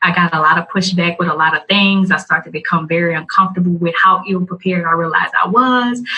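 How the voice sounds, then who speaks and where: A woman with a Louisiana accent talks at a very fast pace and a fairly low pitch. Noticeable background noise runs behind her. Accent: Southern US, Louisiana. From US South, Louisiana (Morgan City). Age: 20s. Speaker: video blogger and podcaster. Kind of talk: interview.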